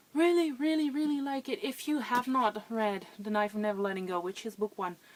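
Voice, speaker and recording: A woman talks at a fairly quick pace in an unremarkable speaking voice with ordinary pitch variation. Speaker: book vlogger. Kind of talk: casual vlog monologue.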